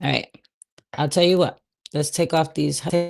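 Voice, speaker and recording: The speaker is a woman. Her voice sits at a very deep, low pitch. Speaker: real estate agent, cold calling coach. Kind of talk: livestream, live cold calling demo. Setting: livestream. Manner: loud.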